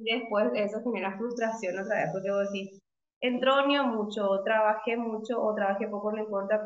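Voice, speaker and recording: In a room with audible echo, a woman with a fairly high pitch speaks at a moderate pace, her pitch varying in an ordinary way. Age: 30s. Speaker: physiotherapist. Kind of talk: interview. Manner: halting.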